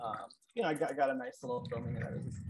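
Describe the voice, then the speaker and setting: A man talks at a fairly quick pace with noticeable background noise. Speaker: musician and sound artist. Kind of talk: artist presentation. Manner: hesitant, casual. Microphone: video call.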